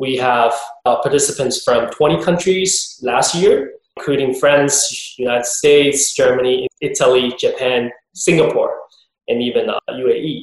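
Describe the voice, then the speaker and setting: A man with a Chinese accent talks at a fairly slow pace. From southern China. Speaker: aviation conference director. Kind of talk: interview.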